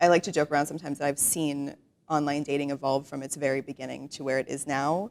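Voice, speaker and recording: A woman's very deep, low voice at a very fast pace with fairly even intonation, on a very clean recording with a silent background. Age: 30s. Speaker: writer. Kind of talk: interview.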